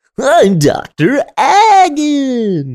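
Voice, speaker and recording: A man puts on a character voice. It sits at an extremely high pitch. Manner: cheery.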